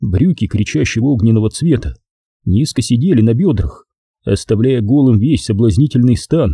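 Against quiet surroundings, the text is read aloud in a natural voice.

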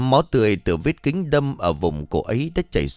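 Natural-voiced reading aloud

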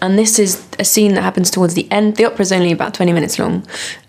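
A woman speaks at a medium pitch with ordinary pitch variation. Noticeable background noise runs behind her. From France and Britain. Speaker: composer and singer. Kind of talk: interview chat about music.

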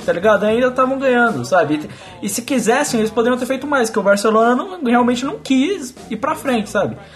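Against noticeable background noise, a man with an extremely high voice talks fairly quickly with lively intonation. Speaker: football podcast host. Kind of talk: casual chat.

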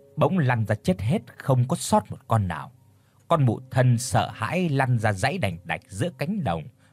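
This voice reads naturally, its intonation full of life.

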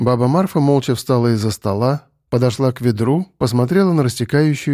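Someone reads aloud in a natural voice, with ordinary pitch variation. The background is quiet.

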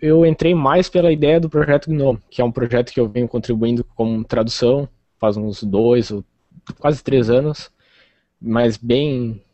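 A man with a medium-pitched voice talks at a fairly slow pace with ordinary pitch variation and long, frequent pauses. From southern Rio Grande do Sul, Brazil (Rio Grande). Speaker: computer science student and open-source contributor. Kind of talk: interview.

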